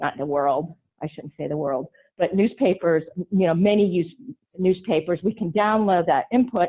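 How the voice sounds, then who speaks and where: Her fairly low pitch shows ordinary variation as this woman speaks. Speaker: automation expert speaker. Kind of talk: webinar presentation. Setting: webinar. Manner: fast.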